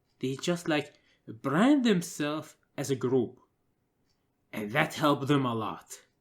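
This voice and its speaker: The speaker has a non-native accent and moves at a fairly slow pace. Long pauses come frequently. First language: not English. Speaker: gaming commentator. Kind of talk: casual commentary monologue. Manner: halting, many filler uhs.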